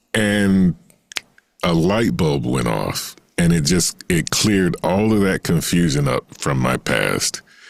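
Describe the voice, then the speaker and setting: Music plays behind a man with an American accent and a very deep, low pitch. He talks very slowly at a very even loudness, with lively intonation. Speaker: singer and voice actor. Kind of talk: interview answer. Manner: hesitant, conversational.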